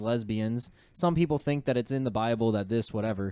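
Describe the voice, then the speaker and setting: The voice carries a northern US accent. The pace is fairly quick. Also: man. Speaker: podcast host. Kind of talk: casual chat. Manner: laughs often.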